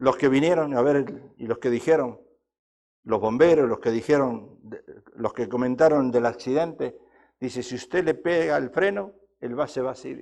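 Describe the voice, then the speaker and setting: Loudness swings widely as a man of medium pitch speaks at a moderate pace with ordinary pitch variation. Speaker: pastor. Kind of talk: sermon. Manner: animated.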